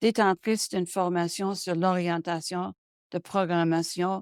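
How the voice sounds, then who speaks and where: At a very slow pace, a woman talks in a fairly low pitch with fairly even intonation. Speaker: webinar moderator and arts management consultant. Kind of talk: webinar introduction read from prepared text. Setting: online webinar. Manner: halting, frequent self-corrections.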